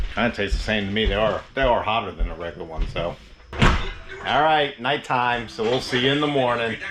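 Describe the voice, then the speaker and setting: A man speaks at a very fast pace with a medium pitch. His pitch varies in an ordinary way over noticeable background noise. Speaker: RV travel vlogger. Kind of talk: casual vlog narration.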